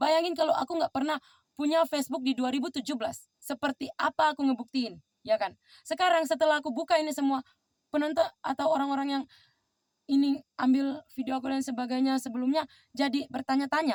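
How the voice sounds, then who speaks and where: A woman talks at a very fast pace in a high, animated voice. The sound is dry and close, with no echo. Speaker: vlogger. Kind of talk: personal monologue vlog. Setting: outdoors.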